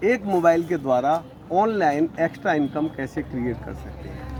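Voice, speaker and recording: Behind the speaker, background noise is noticeable. His pitch varies in an ordinary way, and the voice is a man's. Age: 60s. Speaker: network marketing leader. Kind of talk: interview. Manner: animated.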